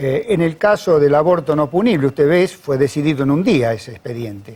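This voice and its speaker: A man talks at a moderate pace with a fairly high pitch and lively intonation. His tone is dark and mellow, somewhat breathy. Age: 60s. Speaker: judge. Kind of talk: interview. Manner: formal.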